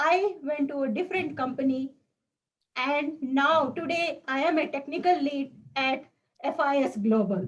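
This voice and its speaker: At a moderate pace, a woman talks in a high voice. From South India. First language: Indian language (South Indian). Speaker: speech contestant. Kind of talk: prepared speech. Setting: video call.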